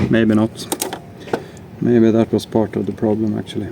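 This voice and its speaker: Noticeable background noise accompanies speech delivered at a moderate tempo. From Sweden. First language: Swedish. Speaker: DIY tool and gear video maker. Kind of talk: tutorial with running commentary.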